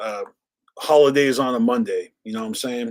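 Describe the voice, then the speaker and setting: A man with an American accent speaks at a moderate pace. His pitch is medium, with ordinary variation. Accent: Boston accent, stronger when drinking. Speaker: live stream podcast host. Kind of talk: casual live stream chat. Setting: live stream.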